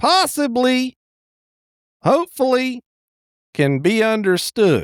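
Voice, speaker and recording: A man's put-on character voice, drawling at an extremely high pitch and fairly slow pace, with a dry, close sound and no echo. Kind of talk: folksy comic movie recap. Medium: solo performance. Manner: rambling, drawling, hesitant fillers, chuckling.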